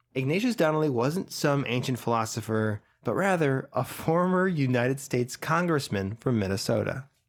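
A man has a plain, everyday voice at a medium pitch, with lively intonation and very even loudness. He keeps a moderate pace with hardly any pauses, and the recording is very clean, with a silent background. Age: 20s. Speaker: podcast co-host. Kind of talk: casual chat; reading aloud.

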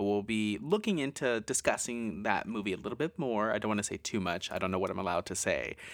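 A man with an unremarkable speaking voice talks at a fairly low pitch with lively intonation. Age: 20s. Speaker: horror podcast co-host. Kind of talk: casual chat; scripted narration.

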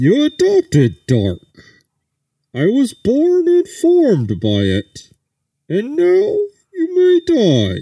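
Doing a put-on character voice at an extremely high pitch, a man talks very slowly with long, frequent pauses. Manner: menacing, theatrical.

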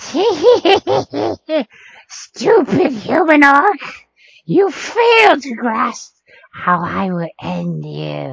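A high, put-on character voice speaks at a very slow pace. Long, frequent pauses run throughout. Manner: menacing, scornful.

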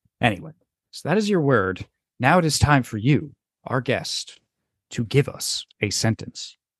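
The voice is somewhat breathy and moves at a fairly slow pace with long, frequent pauses and very wide pitch swings, recorded dry and close with no echo against a quiet background. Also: man, fairly high pitch for a man. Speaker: podcast host. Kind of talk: casual comedy podcast chat. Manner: profane, jokey.

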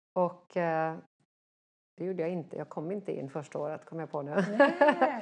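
A woman has a normal speaking voice, fairly low in pitch, delivered at a moderate pace. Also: lively intonation. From Sweden. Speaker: dressage rider and trainer. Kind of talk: interview.

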